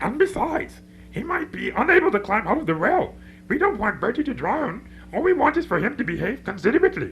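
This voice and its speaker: A man's put-on character voice, extremely high-pitched with very wide pitch swings, at a very fast pace over light background noise. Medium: audio drama. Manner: prim, formal complaining.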